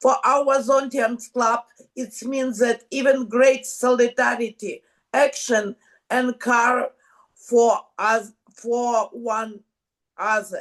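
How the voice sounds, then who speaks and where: Using fairly even intonation, a woman with a Ukrainian accent speaks at a high pitch and a very slow pace. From Ukraine. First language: Ukrainian or Russian. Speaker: women's club member from a war zone. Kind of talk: video call panel interview. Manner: halting.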